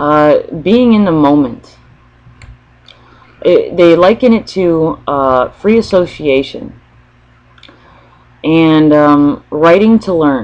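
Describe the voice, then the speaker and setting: Speaking at a very slow pace with long, frequent pauses, a woman uses lively intonation at a fairly low pitch. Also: very even loudness. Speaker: spiritual channeler vlogger. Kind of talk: free-form spiritual monologue. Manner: hesitant, many pauses; stutters.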